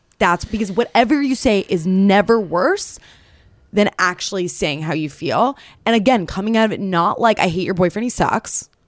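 At a moderate pace and medium pitch, a woman speaks with an American accent in a normal speaking voice, with ordinary pitch variation. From New York City. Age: 20s. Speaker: dating advice content creator. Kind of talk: casual chat. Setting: studio.

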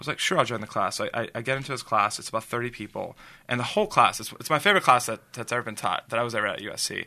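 Very fast, lively American-accented speech with a bright, sharp tone over a quiet background. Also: man, medium pitch for a man. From Los Angeles, San Fernando Valley. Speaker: entrepreneur, ad agency founder. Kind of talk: interview, personal storytelling. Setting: studio, in person. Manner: halting, many fillers and repetitions.

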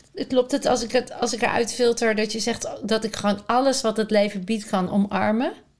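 This woman has a fairly high voice. She speaks with hardly any pauses. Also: fairly quick pace. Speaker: podcast host. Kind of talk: in-depth interview. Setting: at guest's home. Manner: enthusiastic.

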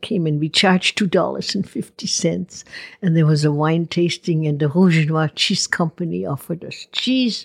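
At a moderate pace, a woman with a fairly low, somewhat breathy voice is heard in a dry, close sound with no echo. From Switzerland, Ticino. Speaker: winery figure. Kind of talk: interview.

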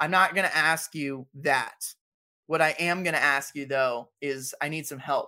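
Fairly high-pitched man with an American accent at a fairly slow pace, bright and sharp in tone, animated, on a very clean recording with a silent background. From San Diego, California. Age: 20s. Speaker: podcast host. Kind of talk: casual interview chat.

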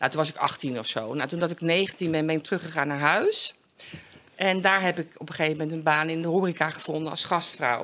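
A woman speaks in a plain, everyday voice at a fairly quick pace. Her pitch is fairly low, with ordinary pitch variation. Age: 50s. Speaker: recovering addict. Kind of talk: interview testimony.

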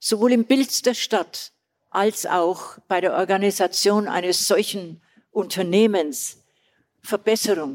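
Speaking very slowly with a strong Bavarian accent, a woman keeps her loudness very even, her medium pitch varying in an ordinary way, in a dry, close sound with no echo. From Old Bavaria, southern Germany. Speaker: retired tourism and festival director. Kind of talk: live on-stage interview. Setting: stage with live audience.

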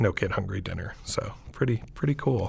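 Somewhat breathy, with an American accent. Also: man. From Montana and Texas, US. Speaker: chef and restaurant owner. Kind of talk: podcast interview. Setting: studio, remote.

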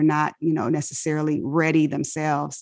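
A woman with an American accent talks at a moderate pace. Her pitch is very deep and low. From Inglewood, California. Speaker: physician. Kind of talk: interview.

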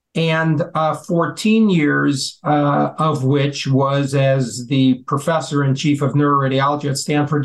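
Somewhat breathy and fairly high-pitched, a man speaks at a fairly slow pace with hardly any pauses, very even loudness and ordinary pitch variation. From US Midwest (Chicago). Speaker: physician and health policy adviser. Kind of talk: interview.

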